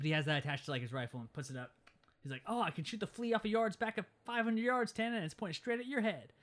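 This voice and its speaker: This man talks at a very fast pace with an American accent. His pitch is high and swings very widely. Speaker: podcast host. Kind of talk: casual chat.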